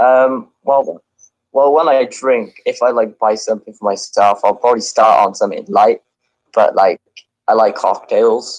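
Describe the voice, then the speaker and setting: A man talks at a moderate pace. He has a Cardiff accent. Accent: Welsh (near Cardiff). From Wales. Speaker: caller. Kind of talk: casual chat.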